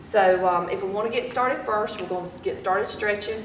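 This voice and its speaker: A woman at a fairly quick pace, fairly even in intonation, with light background noise and audible room echo. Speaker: fitness instructor. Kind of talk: workout instruction. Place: gym. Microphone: camera far.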